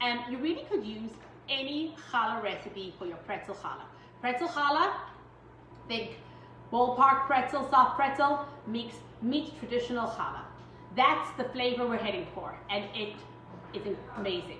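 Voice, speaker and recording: A woman with a high pitch and ordinary pitch variation speaks with long, frequent pauses amid audible room echo and light background noise. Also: moderate pace. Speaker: home baking instructor. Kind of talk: tutorial. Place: kitchen. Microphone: camera far.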